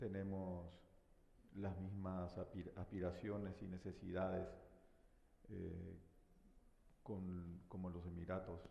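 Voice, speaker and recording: Very slow, with long, frequent pauses, a man speaks in a very deep, low pitch and dark, mellow tone, with audible room echo. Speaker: government minister. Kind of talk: panel discussion. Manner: hesitant, many fillers.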